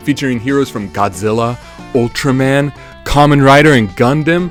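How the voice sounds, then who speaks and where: Music plays in the background. A man at medium pitch talks at a moderate pace. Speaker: retro game reviewer. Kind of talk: game review narration.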